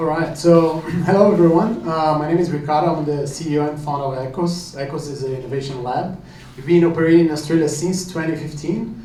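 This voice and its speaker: Someone speaks very fast with a Brazilian accent and fairly even intonation, amid noticeable background noise and audible room echo. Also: man, fairly high pitch for a man. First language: Portuguese. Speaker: company founder, sponsor. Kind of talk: event announcement.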